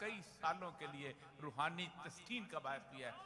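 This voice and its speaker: His pitch varies in an ordinary way. Behind this man, background noise is noticeable. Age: 60s. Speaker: religious speaker. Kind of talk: religious speech. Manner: formal.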